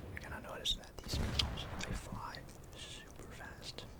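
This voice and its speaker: Noticeable background noise accompanies a whispering voice. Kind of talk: ASMR gaming commentary, whispered narration. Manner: whispered, soft.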